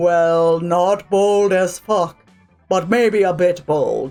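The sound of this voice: Against faint background music, a man does a put-on character voice at a high pitch and a very slow pace.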